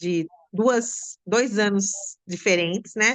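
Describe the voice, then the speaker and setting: Speaking very slowly, a woman uses a medium pitch. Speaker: school teacher, theatre with students. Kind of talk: interview answer.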